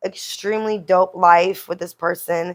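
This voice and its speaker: The delivery from this woman is fairly slow. She keeps her intonation fairly even. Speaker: podcast host. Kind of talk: casual chat.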